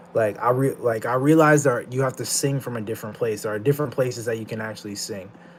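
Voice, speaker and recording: With a normal speaking voice, this man keeps a moderate pace and a medium pitch. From Canada (Ottawa). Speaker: streamer. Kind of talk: live stream chat. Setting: live stream.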